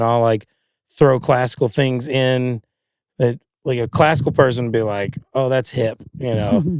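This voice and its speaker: A moderate pace in a Kentucky accent. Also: man. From Kentucky, Louisville. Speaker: singer-songwriter and guitarist. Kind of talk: casual chat. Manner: animated.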